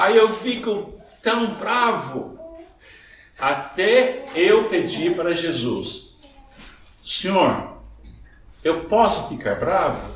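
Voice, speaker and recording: Amid noticeable background noise and audible room echo, a man speaks at a very slow pace with a high pitch and lively intonation. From Scottish and Irish background. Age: 70s. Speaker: pastor. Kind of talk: sermon. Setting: church.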